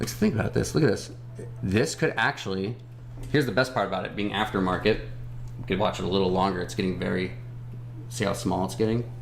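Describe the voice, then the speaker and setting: A man's very fast, fairly low-pitched speech with very wide pitch swings and long, frequent pauses, plus audible room echo and music in the background. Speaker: stock livestream host. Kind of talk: casual livestream chat about stock charts. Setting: live stream. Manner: stumbling when speeding up.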